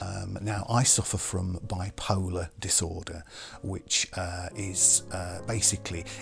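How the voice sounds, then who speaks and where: Very slow and in a monotone, flat intonation, a man speaks at a very deep, low pitch with music in the background. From Hull, England. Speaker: radio presenter and voice artist. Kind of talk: interview answer.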